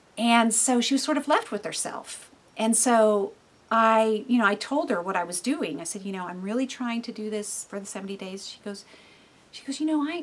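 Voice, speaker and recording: With an ordinary speaking voice, a woman talks at a moderate pace, her intonation lively and her loudness swinging widely. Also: fairly high pitch for a woman. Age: 50s. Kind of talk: devotional teaching monologue. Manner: casual, with many fillers.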